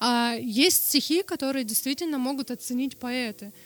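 A woman's high-pitched voice moves at a moderate pace, and its pitch varies in an ordinary way. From Russia, Norilsk. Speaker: sign language interpreter. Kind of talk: interview. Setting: studio.

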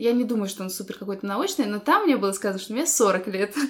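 A woman talks very fast with fairly high pitch and lively intonation over noticeable background noise. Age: 30s. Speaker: podcast co-host. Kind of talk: casual chat.

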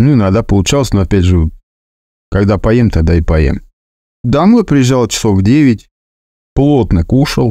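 Lively intonation, long and frequent pauses, and very even loudness throughout. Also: man. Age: 40s. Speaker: driver sharing weight-loss story. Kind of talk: personal testimony.

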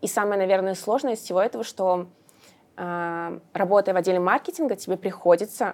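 In a very clean recording with a silent background, a woman with a plain, everyday voice talks at a moderate pace with ordinary pitch variation. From Russia, Samara. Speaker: digital marketing specialist. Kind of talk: casual interview.

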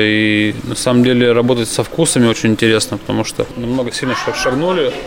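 Over noticeable background noise, a man talks at a moderate pace and medium pitch. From Yaroslavl region, Russia. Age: 30s. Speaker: chef. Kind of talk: casual chat. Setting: restaurant.

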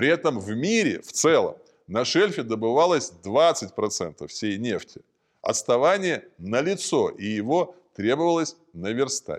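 Over a quiet background, a man speaks very slowly at a fairly high pitch with vocal fry. His pitch swings very widely and his loudness swings a lot. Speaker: narrator. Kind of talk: documentary narration. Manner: formal; measured.

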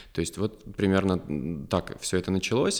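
A man's very deep, low-pitched voice. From Ryazan, Russia. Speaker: clinical psychologist and university lecturer. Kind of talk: casual interview. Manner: humorous, ironic.

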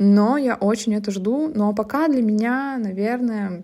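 With ordinary pitch variation and a medium pitch, a woman talks in a dark, mellow tone. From Russia, Zabaykalsky Krai (Siberia). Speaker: podcaster, reality TV show winner. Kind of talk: casual monologue. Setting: shared apartment room.

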